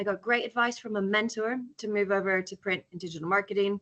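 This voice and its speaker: In an American accent, a woman speaks with a bright, sharp tone and ordinary pitch variation. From California. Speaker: charity director and entrepreneur. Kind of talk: conference talk with slides.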